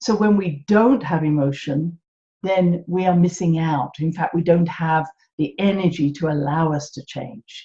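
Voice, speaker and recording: A woman with an English accent speaks at a fairly slow pace with a fairly low pitch and ordinary pitch variation. Her tone is dark and mellow, and somewhat breathy. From England. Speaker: podcast host, holistic health teacher. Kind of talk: solo podcast talk.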